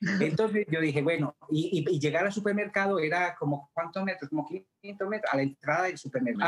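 Here a man talks at a fairly quick pace with a high pitch. He hardly pauses, and his loudness stays very even. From Colombia. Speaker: theatre actor. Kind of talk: interview testimony.

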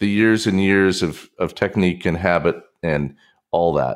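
In a very clean recording with a silent background, a man talks at a moderate pace in an ordinary speaking voice, fairly low in pitch. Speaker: podcast co-host. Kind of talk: casual chat.

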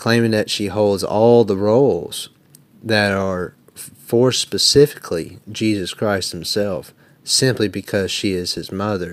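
Speaking fairly slowly in a Southern US accent, a man uses a fairly low pitch with ordinary pitch variation. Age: 20s. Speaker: Protestant debater. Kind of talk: formal debate.

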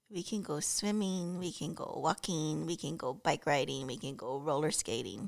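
Her pitch very deep and low, a woman speaks with vocal fry and lively intonation at a moderate pace, with hardly any pauses. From Hawaii. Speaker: host's wife. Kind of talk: casual chat.

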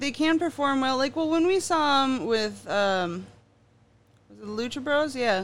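The speaker has an animated tone and a fairly slow pace on a very clean recording with a silent background. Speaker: podcast co-host. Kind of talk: casual comedic chat. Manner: animated, profane.

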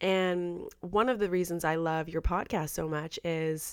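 An ordinary speaking voice from a woman. Her pitch is fairly low, with ordinary pitch variation. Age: 30s. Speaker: podcast host. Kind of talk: casual interview chat. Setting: remote call from home.

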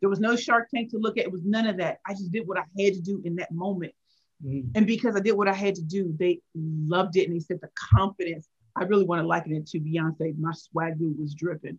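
A woman speaks fairly quickly at a medium pitch with an animated tone and ordinary pitch variation. Her somewhat breathy voice has a dry, close sound with no echo. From St. Louis, Missouri (inner city). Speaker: pitch coach and author. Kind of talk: interview.

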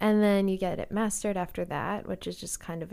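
Speaking at a very fast pace, a woman has a dark, mellow tone in a very clean recording with a silent background. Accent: Canadian. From Calgary, Alberta, Canada. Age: 20s. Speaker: singer-songwriter. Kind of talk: casual chat.

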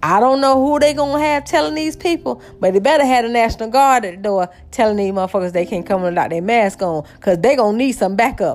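Her tone is animated as the woman talks at a very fast pace. Her pitch swings very widely. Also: fairly high pitch for a woman, hardly any pauses. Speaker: podcaster. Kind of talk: casual solo rant. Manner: animated, profane, conversational.

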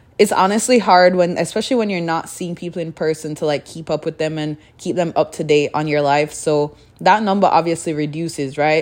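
Her voice fairly low in pitch, a woman speaks at a fairly quick pace with ordinary pitch variation. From Jamaica, Kingston. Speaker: podcaster. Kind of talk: casual solo monologue. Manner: mumbling; flowing, few pauses.

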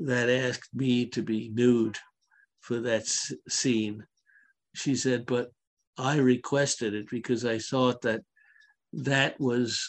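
Against a quiet background, a man talks at a very slow pace and medium pitch, his intonation monotone and flat. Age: 70s. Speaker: podcast co-host. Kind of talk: casual chat. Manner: halting.

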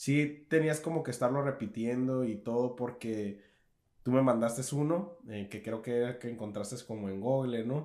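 A man with a Mexican accent speaks slowly, or fairly so, at a medium pitch with ordinary pitch variation. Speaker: podcast co-host. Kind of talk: casual chat.

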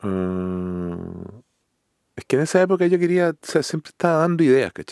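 Moderate-paced speech from a man with a Chilean accent, very wide pitch swings and a dry, close sound with no echo. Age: 40s. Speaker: music composer and producer. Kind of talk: casual interview conversation.

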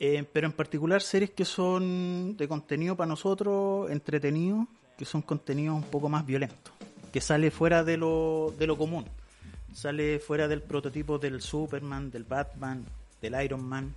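Speaking in a Chilean accent, a man with a fairly high pitch shows ordinary pitch variation. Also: moderate pace. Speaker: podcast co-host. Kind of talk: casual chat.

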